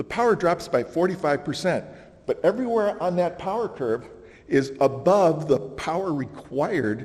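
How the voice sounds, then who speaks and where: A man with an unremarkable speaking voice, fairly high in pitch, speaks at a moderate pace with lively intonation. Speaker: conference speaker. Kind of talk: conference presentation.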